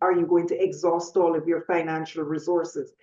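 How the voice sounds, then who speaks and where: At a moderate pace, a woman talks with a Jamaican accent. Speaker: panelist. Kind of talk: panel discussion.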